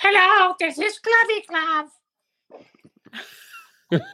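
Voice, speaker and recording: The voice is a put-on character voice, squeaky in sound. Its pitch is extremely high. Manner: playful, comic.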